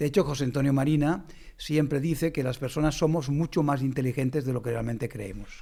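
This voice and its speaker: Dark and mellow in tone, a man's fairly high voice moves at a fairly quick pace with ordinary pitch variation. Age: 60s. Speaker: mathematics professor and educator. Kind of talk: conversational podcast interview.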